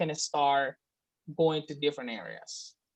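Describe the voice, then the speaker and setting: A woman is speaking. She has a Spanish accent. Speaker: student in a class project group. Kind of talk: casual group meeting discussion. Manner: halting, with many fillers.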